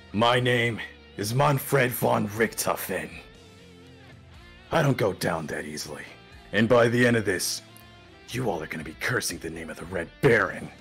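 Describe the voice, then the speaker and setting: A man's put-on character voice at a fairly low pitch, with clear music in the background. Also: moderate pace. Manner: defiant, boastful.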